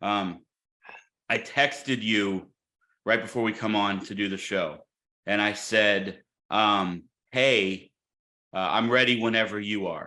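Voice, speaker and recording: In a very clean recording with a silent background, a loud man with an American accent and fairly low pitch speaks at a fairly slow pace with fairly even intonation, a bright, sharp tone and long, frequent pauses. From Illinois, St. Louis area. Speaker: podcast co-host. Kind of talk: casual chat.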